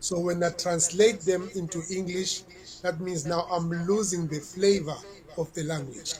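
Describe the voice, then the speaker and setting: A man with a South African accent speaks fairly slowly at a high pitch. His intonation is fairly even, with noticeable background noise around him. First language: Xhosa. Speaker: reggae artist. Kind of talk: interview.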